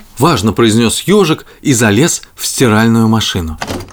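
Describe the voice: A man speaks with lively intonation at a fairly low pitch. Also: moderate pace.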